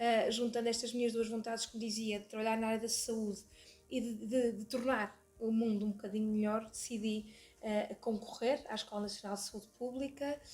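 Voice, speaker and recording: Somewhat breathy, the woman's voice sits at a fairly high pitch. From northern Portugal, Porto. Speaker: lawyer and hospital administrator, association president. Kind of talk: podcast interview. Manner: hesitant, many fillers and repetitions.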